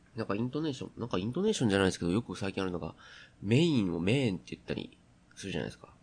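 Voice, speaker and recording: Lively intonation runs through a man's very fast speech. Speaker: podcast host. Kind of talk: solo casual talk. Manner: halting, many fillers.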